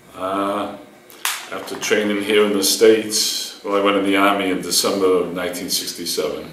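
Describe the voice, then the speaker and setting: Over noticeable background noise and audible room echo, a man with an American accent talks at a moderate pace. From Boston, Massachusetts. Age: 60s. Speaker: war veteran. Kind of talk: oral history interview. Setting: university room. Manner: halting, many fillers.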